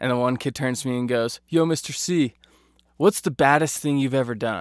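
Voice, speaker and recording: On a very clean recording with a silent background and a dry, close sound with no echo, a man with a plain, everyday voice talks at a fairly quick pace and a medium pitch. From US, Idaho (Boise area). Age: 20s. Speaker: video editor and writer, amateur comedian. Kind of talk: casual interview chat.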